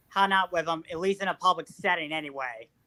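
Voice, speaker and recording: A man projects a raised voice at a high pitch. His tone is bright and sharp, and his intonation is fairly even. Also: dry, close sound with no echo. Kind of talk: interview answers.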